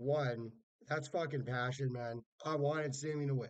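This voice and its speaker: The voice is loud, with fairly even intonation at a moderate pace. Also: man. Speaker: wrestling fan vlogger. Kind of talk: casual vlog review. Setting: hotel room. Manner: naturally loud.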